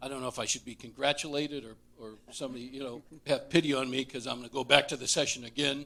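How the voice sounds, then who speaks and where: A man with an American accent speaks at a medium pitch in a bright, sharp tone. His delivery is monotone and flat, with vocal fry. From Southern Nevada. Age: 60s. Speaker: retiring labor lobbyist. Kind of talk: speech at council meeting. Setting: city council meeting.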